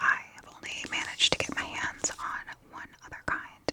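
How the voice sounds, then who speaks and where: Against noticeable background noise, a woman whispers at a moderate speed. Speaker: ASMR vlogger. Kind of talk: casual talk to camera, vlog voiceover. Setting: recorded on location and in a home studio, airplane noise in background. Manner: whispered, soft-spoken.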